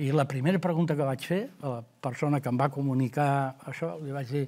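At a moderate pace, a man with a fairly high, somewhat breathy voice keeps his intonation fairly even. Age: 70s. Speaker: local election candidate; election candidate. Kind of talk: interview; interview answer. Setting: studio. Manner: halting. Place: studio. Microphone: lapel.

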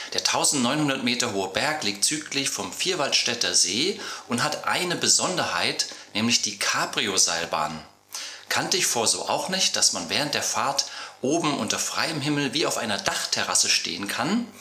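Audible room echo hangs around this man's voice. He talks at a moderate pace. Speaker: travel vlogger. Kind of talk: video intro to camera. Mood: friendly, upbeat. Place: studio.

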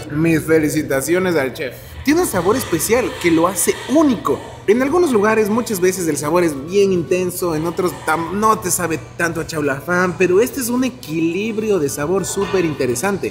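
A man at a moderate pace over faint background music. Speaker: food vlogger. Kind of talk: casual vlog chat. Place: cafe. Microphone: camera far.

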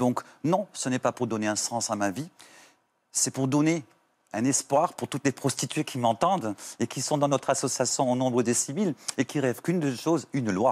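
The speaker talks at a moderate pace with ordinary pitch variation and long, frequent pauses. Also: man, medium pitch for a man. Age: 40s. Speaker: activist for sex workers' rights; talk show guest. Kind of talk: TV talk show testimony. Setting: TV studio. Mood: warm, earnest, emotional topic. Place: studio. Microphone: lapel.

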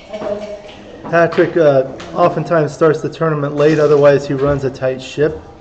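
Amid noticeable background noise and audible room echo, a man talks with hardly any pauses, at a fairly high pitch with ordinary pitch variation. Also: moderate pace. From Los Angeles. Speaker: backgammon streamer and commentator. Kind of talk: live commentary. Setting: live stream at a tournament venue.

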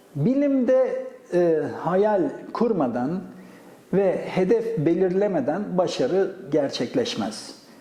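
Speaking very slowly at a high pitch, a man makes very wide pitch swings while noticeable background noise plays behind him. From Gaziantep, Turkey. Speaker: astrophysicist, professor. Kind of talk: oral history interview answer.

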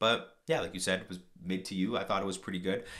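A man's voice against a quiet background. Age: 20s. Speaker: podcast co-host, broadcasting graduate; podcast co-host. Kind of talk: casual chat. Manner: halting, many fillers. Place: studio. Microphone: studio mic.

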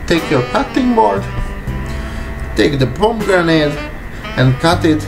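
With a non-native accent, a man speaks at a very slow pace using very wide pitch swings, while clear music plays in the background. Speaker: private chef. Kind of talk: cooking tutorial talk to camera. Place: kitchen. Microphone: camera far.

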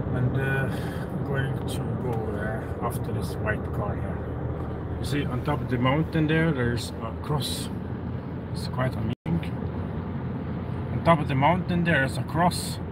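A man speaks with long, frequent pauses against loud background noise. The sound is dry, with no echo. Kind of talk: casual vlog chat. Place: car. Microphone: phone near.

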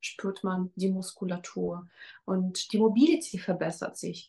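The voice is somewhat breathy, with ordinary pitch variation and a very slow pace. The background is quiet. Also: woman. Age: 40s. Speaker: fitness trainer. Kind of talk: testimonial interview. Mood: warm, enthusiastic. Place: home room. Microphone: webcam.

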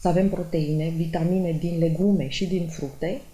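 A woman speaks at a moderate pace with a fairly low pitch and a dark, mellow tone that is somewhat breathy. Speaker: nutrition doctor. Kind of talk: explanatory commentary. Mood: calm, explanatory. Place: office.

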